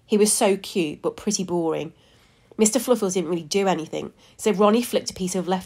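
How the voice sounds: Here the delivery is a natural reading voice.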